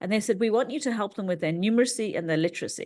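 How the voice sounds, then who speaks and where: Against a quiet background, a woman with an English accent talks very fast at a fairly high pitch. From England. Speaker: NLP trainer and learning coach. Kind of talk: interview.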